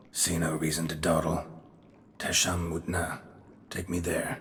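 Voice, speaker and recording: Using a put-on character voice, a man speaks very deep and low, raspy and monotone with flat intonation, at a moderate pace against clear background noise. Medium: video game. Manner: terse, dry, gruff.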